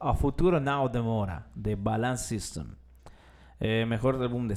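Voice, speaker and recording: A man at medium pitch and a very slow pace, with audible room echo. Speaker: podcast host. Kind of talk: casual chat.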